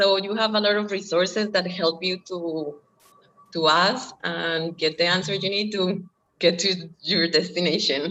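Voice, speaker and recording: At a fairly slow pace, a woman speaks at medium pitch with fairly even intonation. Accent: Colombian. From Colombia. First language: Spanish. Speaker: former language student and au pair. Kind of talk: interview. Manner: halting, with fillers.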